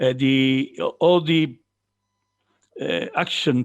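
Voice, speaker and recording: A man speaks with an Italian accent. His pitch sits in the medium range. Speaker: farmer and farm organisation representative. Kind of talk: conference presentation. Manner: halting.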